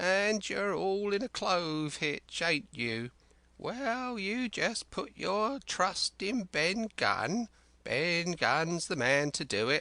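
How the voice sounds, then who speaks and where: With a quiet background, a man puts on a high-pitched character voice and speaks at a very slow pace. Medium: read story. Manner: rambling, excitable, folksy sailor's dialect.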